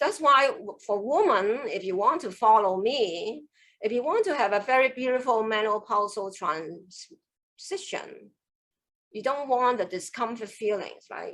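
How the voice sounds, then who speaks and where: A woman with a Cantonese accent, fairly high pitch, lively intonation and a fairly slow pace, against a quiet background. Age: 60s. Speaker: qigong master. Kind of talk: online class. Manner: animated.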